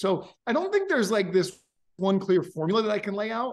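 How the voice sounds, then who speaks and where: An energetic, high-pitched man with a New York accent, a fairly quick pace and ordinary pitch variation. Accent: American, New York. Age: 40s. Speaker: company founder and CEO. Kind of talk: interview.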